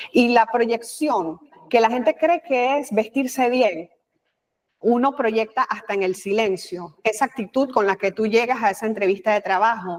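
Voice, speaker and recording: A woman with a Panamanian accent talks at a fairly slow pace, her fairly high pitch showing ordinary variation. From Panama, Colón. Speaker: communication expert, former news anchor and official. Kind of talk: interview.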